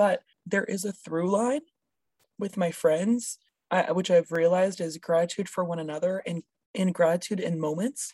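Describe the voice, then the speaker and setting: A woman talks at a moderate pace. Her pitch is medium, with ordinary pitch variation. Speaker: podcast co-host. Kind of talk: casual chat.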